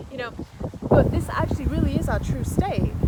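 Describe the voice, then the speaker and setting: A woman is speaking amid noticeable background noise. Room echo can be heard around her voice. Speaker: spiritual wellness vlogger. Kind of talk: casual vlog monologue. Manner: loud.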